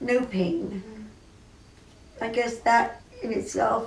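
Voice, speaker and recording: A woman with an American accent speaks with ordinary pitch variation over noticeable background noise and audible room echo. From US West, Burbank, California. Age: 70s. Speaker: cooking show host. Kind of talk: personal remembrance monologue. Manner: emotional, halting.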